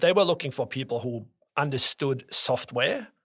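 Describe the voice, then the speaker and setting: A man with a strong German accent, in a very clean recording against a silent background. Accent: thick German. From Norway and Germany. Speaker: tax advisor. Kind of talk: interview.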